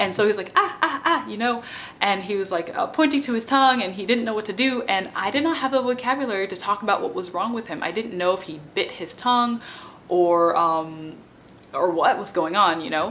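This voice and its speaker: With lively intonation, a woman talks fairly quickly amid noticeable background noise. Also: medium pitch for a woman. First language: not French; French is her non-native language. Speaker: bilingual parenting educator and PhD student. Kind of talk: informal educational talk to camera. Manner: conversational with many fillers (um, like).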